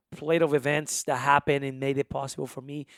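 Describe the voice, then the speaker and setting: In a strong Honduran accent, a man with a fairly high voice talks fairly quickly in an animated tone, the sound dry, close and echo-free on a very clean recording with a silent background. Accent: thick Spanish (Honduran). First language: Spanish. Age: 20s. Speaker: musician and immigration advocate. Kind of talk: casual interview chat.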